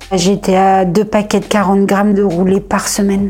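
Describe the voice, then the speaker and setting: Speaking at a fairly slow pace, a woman with a medium-pitched voice is heard over noticeable background noise. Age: 40s. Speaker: stroke survivor. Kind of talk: testimony. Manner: halting; casual.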